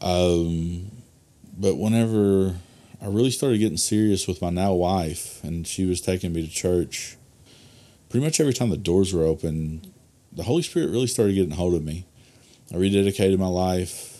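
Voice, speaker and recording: A man with an Arkansas accent, very deep and low in pitch, dark and mellow in tone, with ordinary pitch variation, a moderate pace and long, frequent pauses. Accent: Southern US (Arkansas). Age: 30s. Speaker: pastor. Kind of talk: casual interview chat. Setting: studio.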